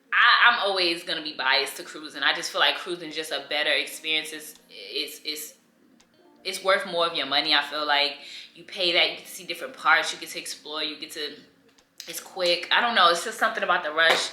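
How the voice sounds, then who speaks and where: A woman's animated, fairly quick speech at a fairly low pitch, with ordinary pitch variation, big swings in loudness, audible room echo and noticeable background noise. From New York. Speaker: lifestyle vlogger. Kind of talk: casual chat. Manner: animated, conversational with many fillers.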